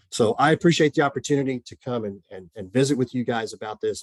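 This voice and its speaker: Speaking in a strong Oklahoma accent, a man moves at a fairly quick pace with ordinary pitch variation. The sound is dry and close with no echo against a quiet background. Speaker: mental health counselor. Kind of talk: presentation. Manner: many fillers and repetitions.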